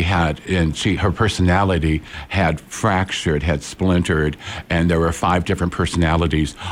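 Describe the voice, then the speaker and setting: There is noticeable background noise behind this man with an American accent. He speaks at a moderate pace in a very deep, low voice. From Peoria, Illinois. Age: 60s. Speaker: psychic medium and forensic psychologist. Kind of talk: interview. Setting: studio. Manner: animated.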